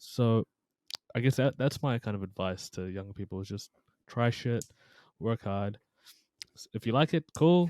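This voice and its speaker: A speaker with a New Zealand accent talks at a moderate pace with long, frequent pauses, using lively intonation and a dark, mellow tone. The recording is very clean and dry, close-miked with a silent background and no echo. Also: man, medium pitch for a man. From New Zealand (Taranaki), immigrant from Pakistan. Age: 20s. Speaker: psychology content creator, former personal trainer teacher. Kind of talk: casual podcast chat.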